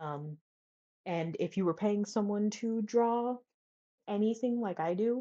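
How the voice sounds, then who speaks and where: Fairly slow speech from a woman, medium in pitch and ordinary in pitch variation. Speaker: writing advice vlogger. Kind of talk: casual tutorial. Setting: college dorm room. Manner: soft-spoken at times; hesitant, many fillers.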